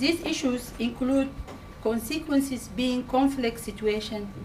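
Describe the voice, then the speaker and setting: Over noticeable background noise, a woman with a high voice speaks at a fairly slow pace with ordinary pitch variation. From Sudan. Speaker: community campaigner. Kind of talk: public speech. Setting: public meeting with audience.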